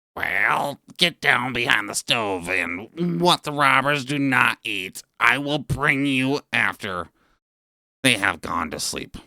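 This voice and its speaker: In a put-on character voice, a man speaks at a medium pitch and a fairly slow pace with lively intonation. The sound is dry and close, with no echo, in a very clean recording with a silent background. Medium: read story.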